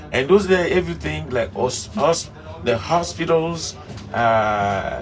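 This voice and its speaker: A man's medium-pitched voice at a very slow pace with very wide pitch swings, amid audible room echo and music in the background. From Africa. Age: 60s. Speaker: devotee and former musician. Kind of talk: interview. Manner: halting.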